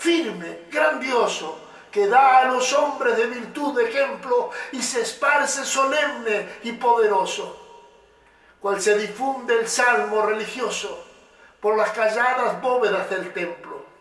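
A man speaks at a very slow pace at an extremely high pitch with ordinary pitch variation, and audible room echo surrounds him. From Uruguay. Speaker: poet and motivational speaker. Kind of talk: poetry reading. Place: studio.

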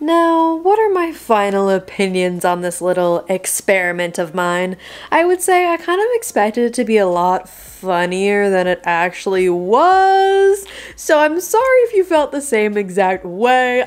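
The pace is fairly slow. The pitch swings very widely. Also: woman. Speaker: vlogger. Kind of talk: casual vlog chat. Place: home room. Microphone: phone near.

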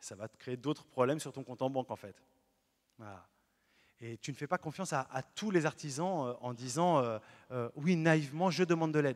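Over a quiet background, a man with a fairly high pitch talks in an animated tone at a moderate pace, with ordinary pitch variation, big swings in loudness and long, frequent pauses. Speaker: Protestant pastor. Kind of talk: sermon. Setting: church. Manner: animated, earnest preaching with emphatic repetition; lively, illustrates points with everyday stories. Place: church. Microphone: handheld.

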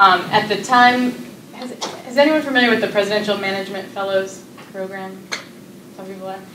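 Amid noticeable background noise, a woman talks at a fairly quick pace with ordinary pitch variation, big swings in loudness, and long, frequent pauses. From US Northeast. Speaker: nonprofit executive; speaker. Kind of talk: presentation. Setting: stage with audience. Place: classroom. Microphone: camera far.

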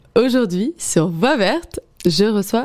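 Speaking at a very slow pace, a woman uses a medium pitch and a dark, mellow tone with lively intonation. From Paris region. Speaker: podcast host. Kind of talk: interview.

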